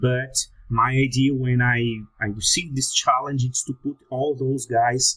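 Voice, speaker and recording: Speaking at a very slow pace, a man with a medium pitch talks in a Brazilian Portuguese accent. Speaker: security researcher. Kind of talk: conference talk. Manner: halting.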